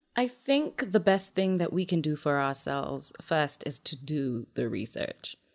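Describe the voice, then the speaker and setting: Over a quiet background, a woman with a very deep, low pitch talks at a fairly slow pace with very wide pitch swings and hardly any pauses. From Kenya. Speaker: sex educator. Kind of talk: interview.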